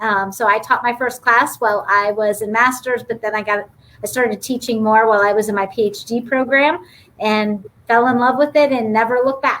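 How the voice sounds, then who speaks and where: A woman with an American accent uses a normal speaking voice, fairly high in pitch, moving at a fairly quick pace with fairly even intonation. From Youngstown, Ohio. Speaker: business school dean. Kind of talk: panel interview.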